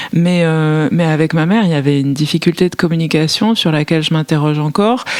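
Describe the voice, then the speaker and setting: A woman's very deep, low voice at a very fast pace, with very even loudness. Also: ordinary pitch variation. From France, Paris. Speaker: novelist. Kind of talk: literary interview. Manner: hesitant, many fillers.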